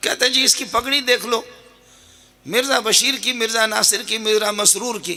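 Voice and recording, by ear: A man puts on a character voice, pitched extremely high, husky and hoarse. He speaks at a moderate pace, raised and projected, in a flat monotone.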